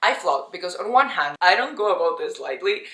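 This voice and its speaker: The tone here is bright and sharp. It belongs to a woman with a Spanish accent. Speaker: lifestyle vlogger. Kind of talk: casual vlog monologue. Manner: casual, conversational.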